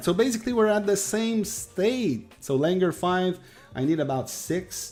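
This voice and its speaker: A man with a Quebec accent at a fairly slow pace, lively intonation, and music in the background. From Quebec, Canada. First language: French. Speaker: gaming streamer. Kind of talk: live stream chat with viewers. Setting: live stream. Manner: halting, many fillers.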